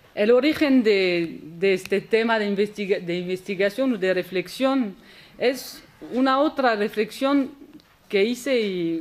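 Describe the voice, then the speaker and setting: Lively intonation marks a woman speaking at a fairly slow pace with a French accent. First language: French (speaking Spanish). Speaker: historian, conference speaker. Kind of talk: academic lecture. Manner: halting, with repetitions.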